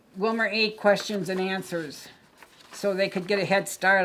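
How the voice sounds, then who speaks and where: A woman with an American accent speaks at a moderate pace and medium pitch. Noticeable background noise sits behind her. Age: 80s+. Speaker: former bank strike participant. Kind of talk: casual chat.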